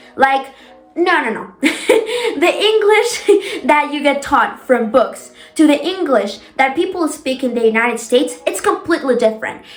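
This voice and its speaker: Over noticeable background noise, a woman talks at a moderate pace in a high pitch with very wide pitch swings. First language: Spanish. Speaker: lifestyle vlogger. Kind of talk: casual tutorial vlog. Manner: casual, filler-heavy.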